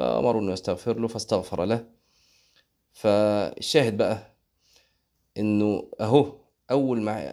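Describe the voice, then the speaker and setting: On a very clean recording with a silent background, the voice has a dark, mellow tone and an Egyptian accent. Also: man. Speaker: Islamic preacher. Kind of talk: religious lesson. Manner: conversational.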